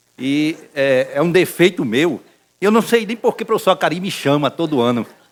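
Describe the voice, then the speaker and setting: A man's fairly high voice at a fairly slow pace, with lively intonation. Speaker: neurologist professor. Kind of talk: medical lecture. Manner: halting, many fillers.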